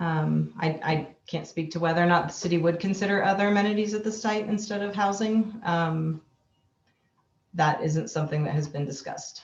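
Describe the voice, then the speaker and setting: Somewhat breathy, a woman speaks at a moderate pace. Her pitch is fairly low with ordinary variation. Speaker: city parks official. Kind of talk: public meeting Q&A. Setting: video call. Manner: hesitant, many fillers.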